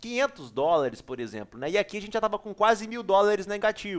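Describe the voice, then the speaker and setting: An animated man speaks at a moderate pace and high pitch in a very clean recording with a silent background. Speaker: poker player and video creator. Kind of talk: poker tournament analysis tutorial. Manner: casual, slangy and animated.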